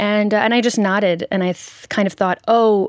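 A woman with an American accent speaks at a fairly quick pace, with ordinary pitch variation and an unremarkable speaking voice. The recording is very clean, with a silent background and a dry, close sound with no echo. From US, Nashville. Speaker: singer and author. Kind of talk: interview testimony. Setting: radio studio.

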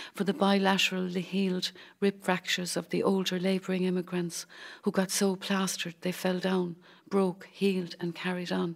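A woman's medium-pitched voice stays monotone and flat in a very clean recording with a silent background. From County Cork, Ireland. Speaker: poet, former radiographer.

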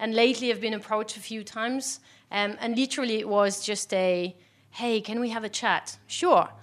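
The speaker talks with a French accent and fairly even intonation. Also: woman, moderate pace. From France. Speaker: product design executive, panelist. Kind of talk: live panel discussion. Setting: stage with live audience.

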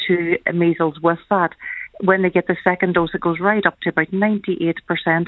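A woman talks at a fairly quick pace. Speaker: family doctor. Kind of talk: radio interview. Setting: phone call.

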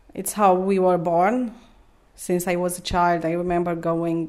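A woman with a Romanian accent, a fairly low pitch and a dark, mellow tone, at a moderate pace in monotone, flat intonation. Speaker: mother and Orthodox believer. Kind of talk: personal conversation in an interview. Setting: home kitchen. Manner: calm, gentle.

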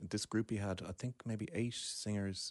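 In a Dublin accent, a man talks in a monotone, flat intonation, recorded dry and close with no echo against a quiet background. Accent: Dublin Irish. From Ireland, Dublin (Deansgrange). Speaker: composer and woodwind musician. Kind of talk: casual chat.

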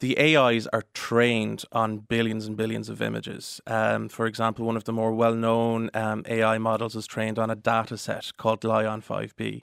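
A man's medium-pitched voice in an Irish accent, monotone and flat, at a moderate pace with hardly any pauses, in a very clean recording with a silent background and a dry, close sound with no echo. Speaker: solicitor. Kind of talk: radio interview.

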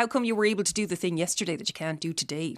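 A woman with an Irish accent talks very fast with ordinary pitch variation, recorded very cleanly against a silent background. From Ireland, Tipperary. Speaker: chronic pain patient. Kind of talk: personal testimony interview.

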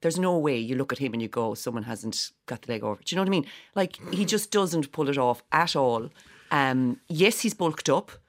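A woman with a Cork accent talks at a fairly quick pace in a very deep, low voice that swings very widely in pitch. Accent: Irish, Cork. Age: 40s. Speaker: stage actor. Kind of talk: casual chat. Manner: animated.

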